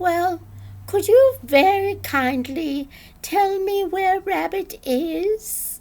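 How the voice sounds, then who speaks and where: A woman puts on a squeaky character voice at an extremely high pitch. She drags it out at a very slow pace. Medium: read story. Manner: cheerful, simple.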